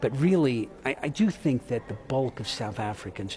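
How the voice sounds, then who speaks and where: The speaker is a man with an American accent. He talks at a moderate speed. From United States. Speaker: tax institute chief executive. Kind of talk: news interview. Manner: animated.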